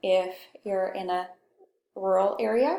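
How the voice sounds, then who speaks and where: A soft-spoken woman talks at a medium pitch with a Pacific Northwest accent. Her tone is dark and mellow. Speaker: communication instructor. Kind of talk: lecture. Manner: conversational.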